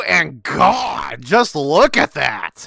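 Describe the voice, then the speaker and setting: Someone is shouting. The recording is dry and close, with no echo. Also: man. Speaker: tech reviewer. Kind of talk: product review talk to camera. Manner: exaggerated shouting, ranting.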